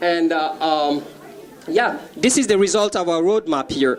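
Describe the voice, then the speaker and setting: The speaker talks at a moderate pace with ordinary pitch variation. Noticeable background noise runs under the voice. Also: man. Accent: French. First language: French. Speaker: author and youth activist. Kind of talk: contest pitch presentation. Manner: halting, many fillers.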